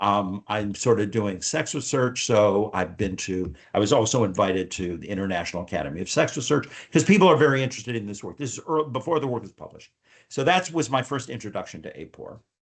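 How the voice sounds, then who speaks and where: Talking at a very fast pace, a man has an American accent. His pitch moves in very wide swings. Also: medium pitch for a man, big swings in loudness. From US Midwest, Detroit, Michigan. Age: 70s. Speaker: survey researcher and sociologist. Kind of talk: interview. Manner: halting, many fillers and restarts.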